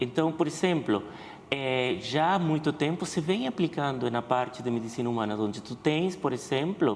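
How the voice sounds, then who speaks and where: In a Spanish accent, a man speaks at a moderate pace with a fairly high pitch. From Venezuela. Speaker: veterinarian. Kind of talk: TV interview.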